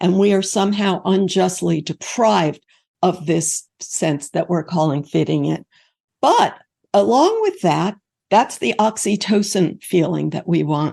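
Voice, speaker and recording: Her tone is dark and mellow, touched with vocal fry. The woman speaks at a fairly slow pace over a quiet background. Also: medium pitch for a woman, ordinary pitch variation. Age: 70s. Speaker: author and researcher. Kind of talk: interview.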